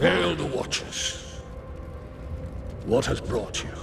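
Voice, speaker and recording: A man performs in a put-on character voice at a very slow pace. Loud background noise runs under him. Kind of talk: ceremonial pronouncement. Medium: video game. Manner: solemn, formal.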